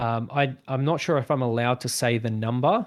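A man with an Australian accent speaks at a fairly quick pace and medium pitch with fairly even intonation, on a very clean recording with a silent background. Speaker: guest, video editor and gamer. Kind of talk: casual conversation interview.

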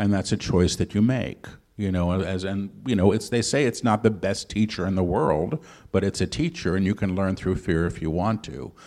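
Recorded very cleanly against a silent background, a man has a normal speaking voice with fairly low pitch at a moderate pace. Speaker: channeler and author. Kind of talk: live interview with channeled teachings. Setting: stage with live audience.

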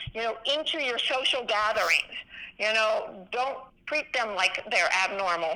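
Noticeable background noise sits behind a woman speaking with a fairly high pitch and ordinary pitch variation. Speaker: physician and veterans charity founder. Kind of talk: interview. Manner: animated.

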